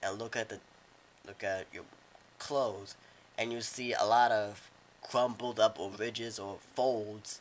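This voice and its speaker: A man's medium-pitched, flat, monotone voice at a fairly slow pace, with big swings in loudness and long, frequent pauses. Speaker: drawing tutor. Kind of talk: casual drawing tutorial narration. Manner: halting, repetitive speech with many restarts.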